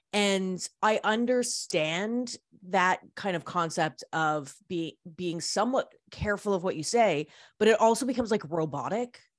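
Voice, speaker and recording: In a Canadian accent, a woman with an ordinary speaking voice and medium pitch talks at a fairly slow pace with lively intonation, captured in a very clean recording with a silent background. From Canada. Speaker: radio host and record label founder. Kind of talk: interview.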